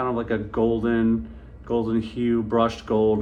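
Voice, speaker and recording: At a moderate pace, a man speaks at a medium pitch, with audible echo from the room. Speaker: fragrance reviewer. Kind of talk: product review. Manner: animated.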